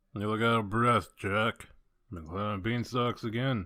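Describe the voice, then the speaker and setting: A man's put-on character voice at medium pitch and moderate pace. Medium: dub.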